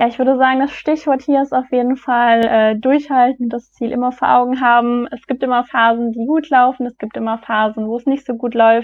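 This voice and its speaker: Her pitch is high and her intonation monotone and flat. The woman speaks at a moderate pace. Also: hardly any pauses. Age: 20s. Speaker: business graduate. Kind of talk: interview. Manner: hesitant, many fillers.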